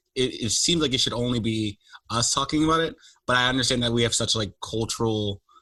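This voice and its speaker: In an American accent, a man talks at a very fast pace with a medium pitch and ordinary pitch variation. His tone is bright and sharp, and his loudness stays very even. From United States. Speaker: podcast host. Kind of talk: casual interview chat.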